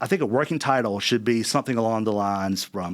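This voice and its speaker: A man's medium-pitched voice at a fairly quick pace, in a South Carolina accent. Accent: South Carolina Southern US. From US South, South Carolina (West Columbia). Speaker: university board chairman. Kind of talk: interview conversation. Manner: halting, many fillers and repeats.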